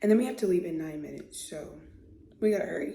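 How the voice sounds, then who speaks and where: With audible room echo, a woman speaks in a fairly low pitch with a dark, mellow tone. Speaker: lifestyle vlogger. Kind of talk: get ready with me vlog. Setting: at home, bathroom. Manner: hesitant, many ums.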